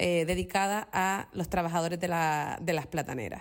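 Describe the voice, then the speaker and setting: A woman of medium pitch speaks at a moderate pace with fairly even intonation, in an ordinary speaking voice. The recording is very clean and the background silent. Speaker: music contributor. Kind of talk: pre-recorded segment.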